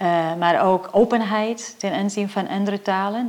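At a moderate pace, a woman speaks in a medium pitch with fairly even intonation over noticeable background noise. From Portugal. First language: Portuguese (speaking Dutch). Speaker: professor. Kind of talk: interview.

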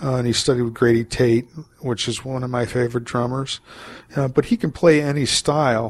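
A man with an American accent uses a normal speaking voice at a medium pitch. He talks at a fairly quick pace with fairly even intonation. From US, Maryland. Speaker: jazz saxophonist. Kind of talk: interview.

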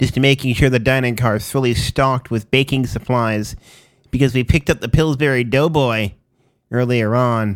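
Here is a man with an ordinary speaking voice. His pitch is medium, and his intonation stays fairly even. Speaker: internet radio DJ. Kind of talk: radio DJ patter: back-announcing songs and a deadpan mock train-conductor announcement. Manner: rapid run-on back-announcing, reeling off artists and titles without pause.

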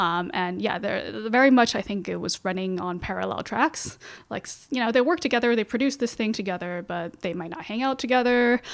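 A woman with an American accent talks fairly quickly in an ordinary speaking voice, fairly high in pitch, with lively intonation and hardly any pauses. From Beijing, then Canada and Seattle. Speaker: magazine editor and journalist. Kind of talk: casual interview. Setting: studio.

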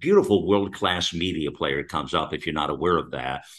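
With a very deep, low pitch and vocal fry, a man speaks. His pace is fairly quick. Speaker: talk radio host. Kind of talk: talk radio conversation. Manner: rambling, many fillers.

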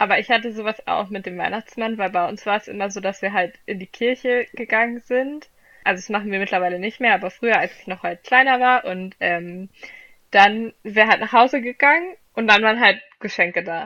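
A woman talks at a fairly quick pace in a fairly high, bright, sharp voice. Her loudness swings widely while her pitch varies in an ordinary way. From Flensburg, northern Germany. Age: 20s. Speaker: student podcaster. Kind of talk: casual chat.

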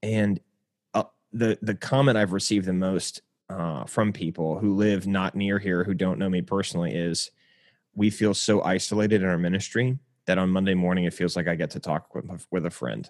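Over a quiet background, a man speaks at a moderate pace with a very deep, low pitch and ordinary pitch variation. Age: 30s. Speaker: pastor. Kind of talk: casual chat.

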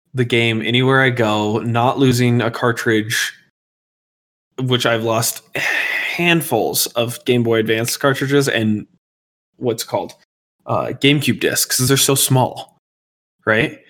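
An American-accented man speaks at a medium pitch with fairly even intonation. His pace is very slow, with long, frequent pauses. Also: very even loudness. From Colorado. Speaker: gaming podcast co-host. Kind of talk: casual chat.

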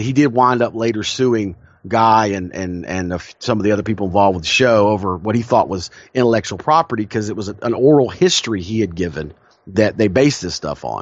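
A man with a Southern US accent, fairly low in pitch, talking at a very fast pace with ordinary pitch variation. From South Carolina, US South. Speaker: podcast co-host. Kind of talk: casual chat. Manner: halting with frequent repetitions.

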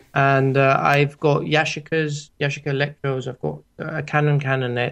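With a Greek accent, the speaker keeps a moderate pace and monotone, flat intonation against a quiet background. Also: man. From Greece, Athens. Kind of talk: interview. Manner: halting.

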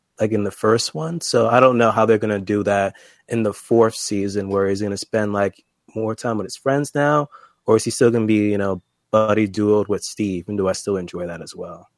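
A man's fairly low voice with ordinary pitch variation, a plain, everyday voice, dry and close with no echo, on a very clean recording with a silent background. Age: 20s. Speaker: YouTuber. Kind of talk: casual chat.

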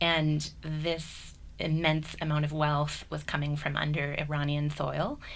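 A woman is heard with audible room echo. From US. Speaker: university program director. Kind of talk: radio panel discussion. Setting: studio.

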